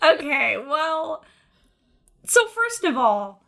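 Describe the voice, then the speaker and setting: The woman's tone is bright and sharp. She talks in a raised, projected voice. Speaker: podcast co-host. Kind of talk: casual chat.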